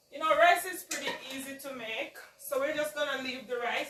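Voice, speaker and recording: Someone talks in a raised, projected voice at a moderate pace over noticeable background noise. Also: woman. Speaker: home cooking video host. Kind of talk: cooking tutorial. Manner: casual, chatty.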